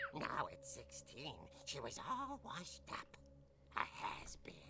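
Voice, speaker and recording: A put-on character voice speaks at a fairly slow pace. Background noise is clearly audible. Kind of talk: horror comic narration. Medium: game stream. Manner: dramatic, wry.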